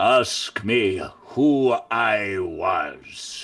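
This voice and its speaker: Someone puts on a raspy character voice. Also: man. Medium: stage.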